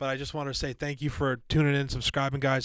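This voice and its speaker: Someone speaks at a fairly quick pace on a very clean recording with a silent background and a dry, close sound with no echo. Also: man. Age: 20s. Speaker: podcast host. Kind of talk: podcast intro; casual chat. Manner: animated.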